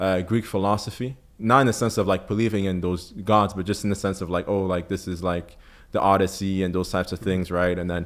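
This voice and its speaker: On a very clean recording with a silent background, a man with a French accent speaks fairly quickly in a fairly low voice, his intonation fairly even. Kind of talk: interview testimony. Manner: hesitant, many fillers and repetitions.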